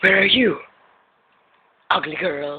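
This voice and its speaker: A man puts on a raspy character voice. His pitch sits fairly high. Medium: voice reel.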